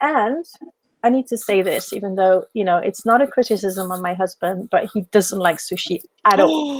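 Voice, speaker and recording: A woman talks at a moderate pace with a French accent and lively intonation. The sound is dry and close, with no echo. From France, Paris. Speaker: business mentor. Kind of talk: podcast interview.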